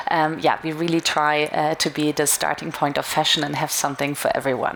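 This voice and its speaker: A woman with a German accent talks over noticeable background noise. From Germany. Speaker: retail media marketing manager. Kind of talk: conference talk. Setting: stage with audience.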